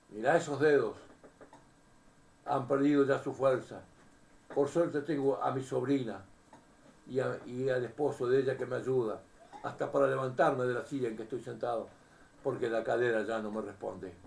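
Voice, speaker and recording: A man with a medium pitch speaks at a moderate pace, leaving long, frequent pauses. The room echo is audible. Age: 80s+. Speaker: preacher. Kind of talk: sermon. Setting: seated at home, addressing camera. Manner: animated.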